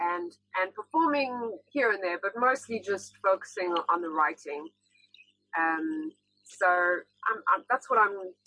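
A woman's bright, sharp voice in a South African accent, fairly slow, with very wide pitch swings and a dry, close sound with no echo. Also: medium pitch for a woman. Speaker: singer-songwriter. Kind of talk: casual interview. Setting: video call.

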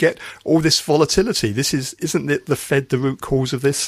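At a moderate pace, a man talks at medium pitch in a normal speaking voice. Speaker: financial podcast host. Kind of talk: news reading and interview. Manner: formal.

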